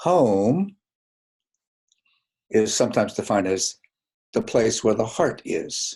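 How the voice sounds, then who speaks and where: This man's voice has a dark, mellow tone. His pitch swings very widely. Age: 80s+. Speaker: clinical psychologist. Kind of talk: webinar presentation. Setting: online webinar. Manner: halting.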